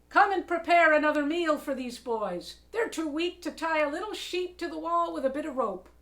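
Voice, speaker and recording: A woman's squeaky, high put-on character voice with lively intonation. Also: moderate pace. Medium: read story. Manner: amused, teasing.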